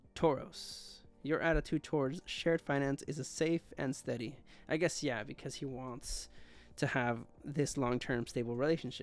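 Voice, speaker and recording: With music in the background, the delivery holds to a moderate speed. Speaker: astrology video creator. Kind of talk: casual monologue. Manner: halting.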